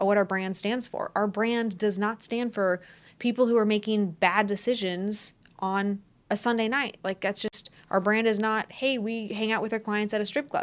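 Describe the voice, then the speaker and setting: Using a plain, everyday voice, a woman speaks at a moderate pace with a fairly high pitch and fairly even intonation. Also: very clean recording, silent background. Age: 20s. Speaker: podcast host and business executive. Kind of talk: solo podcast monologue. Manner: casual, conversational.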